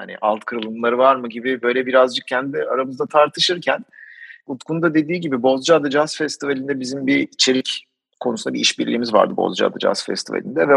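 In an unremarkable speaking voice, a man at medium pitch talks at a fairly quick pace with ordinary pitch variation, the sound dry and close with no echo. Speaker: climate podcaster. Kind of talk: interview.

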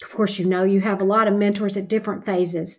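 A woman with an American accent and monotone, flat intonation. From Kentucky, US. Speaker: retired pharmacy professor. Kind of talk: interview.

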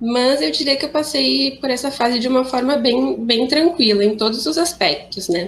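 A woman speaks at a moderate pace with hardly any pauses, her high pitch carried by lively intonation. Noticeable background noise runs under her voice. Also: very even loudness. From Rio Grande do Sul, Brazil. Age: 20s. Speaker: young woman with cystic fibrosis. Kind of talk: personal testimony.

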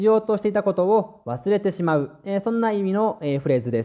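A man talks with a high pitch and lively intonation. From Japan. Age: 20s. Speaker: language teacher podcaster and translator. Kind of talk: bilingual language-learning podcast monologue. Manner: many filler hesitations in Japanese.

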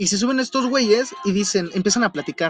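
A high-pitched man with an animated tone and very wide pitch swings, in a dry, close sound with no echo. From Mexico City. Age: young. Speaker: podcast host. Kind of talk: casual chat.

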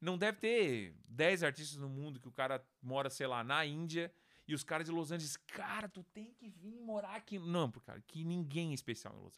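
In an unremarkable speaking voice, a man speaks at a moderate pace and fairly high pitch, with lively intonation and big swings in loudness. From Brazil, Santa Catarina (Criciúma). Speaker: music producer. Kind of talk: casual interview chat.

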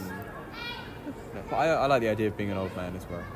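Crowd noise fills the background as a man speaks. The room has an audible echo. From England, countryside. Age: 20s. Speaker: poet and filmmaker. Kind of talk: casual interview. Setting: outdoors in a park.

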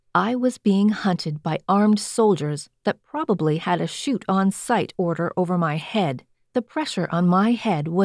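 Plain reading aloud comes through against a quiet background.

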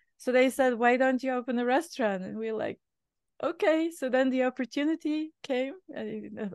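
A woman in a Bulgarian accent at a moderate pace, with ordinary pitch variation, a dry, close sound with no echo and a quiet background. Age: 50s. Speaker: chef and restaurant owner. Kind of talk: interview conversation.

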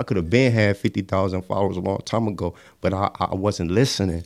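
An ordinary speaking voice from a man with an American accent, fairly low in pitch, at a fairly quick pace with fairly even intonation and a dry, close sound with no echo. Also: very clean recording, silent background. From Cleveland, Ohio. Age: 20s. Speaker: rapper. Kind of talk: casual interview.

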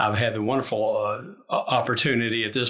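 This man talks in a Kentucky accent. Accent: Kentucky Southern US. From Lexington, Kentucky. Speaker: university administrator. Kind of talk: interview.

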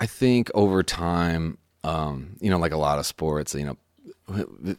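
A man with an American accent speaks in a very deep, low voice with ordinary pitch variation. The recording is very clean, with a silent background and a dry, close sound free of echo. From Chicago, US Midwest. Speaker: songwriter. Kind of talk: casual chat. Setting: studio.

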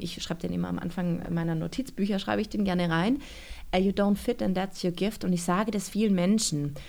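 Vocal fry runs through a woman's dark, mellow voice at a medium pitch with ordinary pitch variation. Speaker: author and church youth worker. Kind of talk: interview.

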